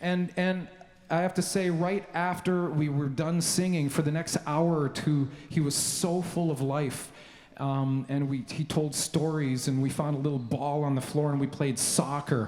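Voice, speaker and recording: In a Canadian accent, a man speaks fairly slowly at a fairly high pitch, with fairly even intonation, very even loudness and noticeable background noise. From Canada (Victoria, British Columbia). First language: Slovenian. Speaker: composer. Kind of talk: speech to a concert audience. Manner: halting, many fillers.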